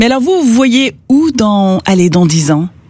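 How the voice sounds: Fairly high-pitched woman's voice, dark and mellow in tone, with big pitch swings at a moderate pace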